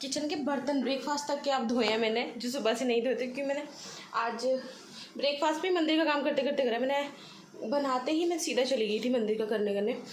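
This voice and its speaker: Amid noticeable background noise and audible room echo, a woman speaks at a high pitch with ordinary pitch variation, a moderate pace and very even loudness. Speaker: vlogger. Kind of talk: casual vlog narration.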